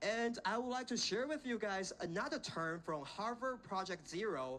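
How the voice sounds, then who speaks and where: In a Chinese accent, a man with a bright, sharp tone speaks at a moderate pace, his pitch swinging very widely. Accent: Chinese accent, self-conscious. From China, Xiamen. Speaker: invited speaker, education graduate. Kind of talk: inspirational talk to students. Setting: stage with audience at a school. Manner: halting with fillers.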